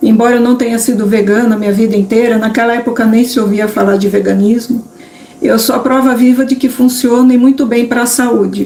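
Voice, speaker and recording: Noticeable background noise sits under speech delivered at a moderate pace with fairly even intonation. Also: woman. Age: 60s. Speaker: vegan cooking youtuber. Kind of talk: live stream talk. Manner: halting.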